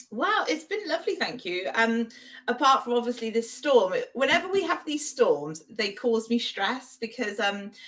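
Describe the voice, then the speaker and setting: A woman with an English accent speaks at a high pitch and a moderate pace, her pitch swinging very widely. Noticeable background noise is present. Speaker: podcast co-host. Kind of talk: casual chat.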